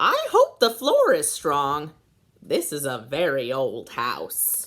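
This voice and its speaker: In a put-on character voice, a woman speaks at a very slow pace with a very deep, low pitch. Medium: read story.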